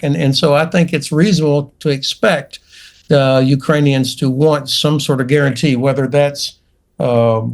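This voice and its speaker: A man's fairly high voice in a North Florida accent, with ordinary pitch variation. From US South. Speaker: retired general, military commentator. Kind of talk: panel debate. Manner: halting.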